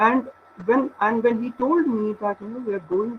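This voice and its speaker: A man's voice, high in pitch with ordinary pitch variation, against noticeable background noise. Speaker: research scholar. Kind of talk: lecture. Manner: halting. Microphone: weak internet connection.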